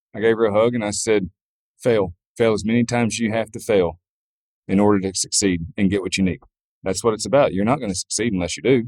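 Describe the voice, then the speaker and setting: Recorded dry and close with no echo, a man with a Southern US accent talks at a very fast pace with a fairly low pitch and fairly even intonation. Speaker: farrier. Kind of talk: interview answer. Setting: outdoors, noisy venue with background music.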